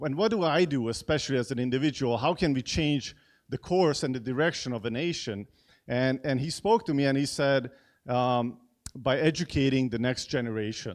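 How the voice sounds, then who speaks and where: A man's medium-pitched voice at a moderate pace, with a slight Hungarian accent, against a quiet background. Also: ordinary pitch variation. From Hungary. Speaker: event host at church. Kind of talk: event introduction speech. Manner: halting, many fillers and repeats.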